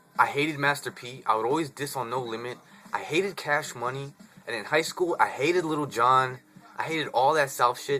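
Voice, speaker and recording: Over noticeable background noise, a man with a fairly high pitch speaks in an animated tone with an American accent, at a fairly quick pace with ordinary pitch variation. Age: 20s. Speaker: vlogger. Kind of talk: casual vlog monologue. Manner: casual, animated.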